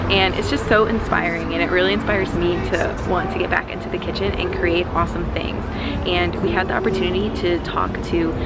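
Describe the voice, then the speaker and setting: A woman talks at a fairly quick pace while music plays in the background. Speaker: vlogger. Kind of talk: casual vlog chat. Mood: enthusiastic, grateful. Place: street. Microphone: phone near.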